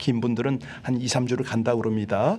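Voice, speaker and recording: A man speaks at a moderate pace and medium pitch, with noticeable background noise behind him. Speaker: pastor. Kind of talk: sermon.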